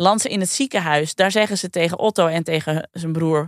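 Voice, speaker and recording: At a moderate pace, a woman talks in a plain, everyday voice with a fairly low pitch and ordinary pitch variation. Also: dry, close sound with no echo. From Friesland, Netherlands. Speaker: podcast co-host. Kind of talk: storytelling.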